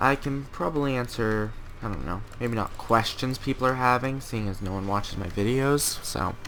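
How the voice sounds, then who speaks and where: Amid noticeable background noise and audible room echo, a man of medium pitch speaks at a moderate pace with ordinary pitch variation. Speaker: gaming commentator. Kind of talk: let's play commentary. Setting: at home. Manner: loud; hesitant.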